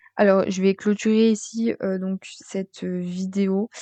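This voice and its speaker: The tone of this woman's voice is dark and mellow. Her intonation stays monotone and flat. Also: dry, close sound with no echo. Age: 20s. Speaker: vlogger. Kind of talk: commented slideshow vlog. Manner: hesitant, many fillers.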